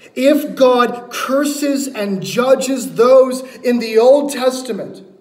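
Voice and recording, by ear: With a slightly mellow tone, a man talks at an extremely high pitch amid strong room echo.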